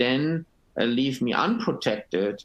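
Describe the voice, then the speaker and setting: With a German accent, a man speaks at a medium pitch and a fairly slow pace. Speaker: panelist. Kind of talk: webinar panel discussion. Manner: halting.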